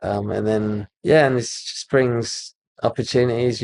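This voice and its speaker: A man with a British accent speaks at a fairly slow pace with fairly even intonation, the sound dry and close with no echo. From UK. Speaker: architect. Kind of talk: casual interview chat. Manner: halting.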